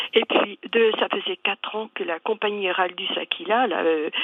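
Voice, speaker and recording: A woman with lively intonation, amid noticeable background noise. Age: 70s. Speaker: caller, castle owner and association founder. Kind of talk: call-in radio interview. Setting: phone call to radio studio. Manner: halting.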